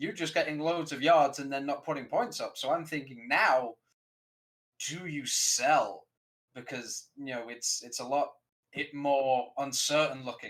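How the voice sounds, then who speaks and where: This man has a British accent and a fairly high pitch, speaking at a fairly slow pace with ordinary pitch variation. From Britain. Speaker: sports podcast panelist. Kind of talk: sports talk show discussion.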